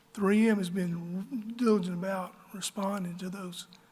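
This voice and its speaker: A man with an Alabama accent, a high pitch, monotone, flat intonation and a moderate pace. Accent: Southern US (Alabama). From US South, northern Alabama. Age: 60s. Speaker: local business owner. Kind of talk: public meeting speech.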